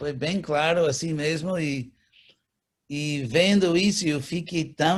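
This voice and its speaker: A man with an English accent, at a very slow pace. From California, USA. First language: English (speaking Portuguese). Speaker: spiritual teacher. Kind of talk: interview.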